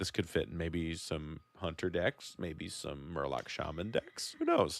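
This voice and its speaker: Lively intonation in an American accent. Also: man. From US Midwest. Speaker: podcast host. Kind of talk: casual podcast discussion.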